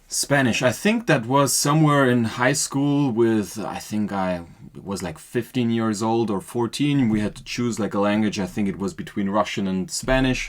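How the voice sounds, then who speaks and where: A moderate pace in a German accent, with ordinary pitch variation and hardly any pauses. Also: man, medium pitch for a man. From Austria. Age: 20s. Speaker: podcast guest, marketing worker. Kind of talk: casual interview. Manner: hesitant, many fillers.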